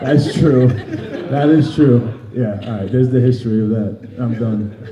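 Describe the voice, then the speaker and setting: A New York accent at a fairly slow pace, ordinary pitch variation, audible room echo and noticeable background noise. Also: man, medium pitch for a man. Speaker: MMA fighter. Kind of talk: interview.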